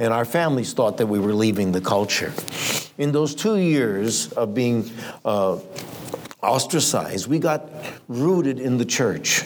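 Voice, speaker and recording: Over noticeable background noise, a man speaks fairly slowly at a medium pitch with long, frequent pauses. His intonation is lively and his loudness very even. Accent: American. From Romani family in the US. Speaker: missionary preacher. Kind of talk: sermon. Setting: church.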